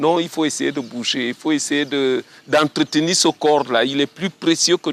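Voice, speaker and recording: At a fairly slow pace, a man speaks with fairly high pitch and ordinary pitch variation, the sound dry and close with no echo. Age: 60s. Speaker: walker and runner. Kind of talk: interview testimony. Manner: halting.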